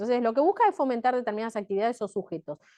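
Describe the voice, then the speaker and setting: A dark, mellow tone carries lively intonation in a dry, close recording with no echo and a quiet background. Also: woman. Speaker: tax law lecturer. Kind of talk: lecture. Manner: fast.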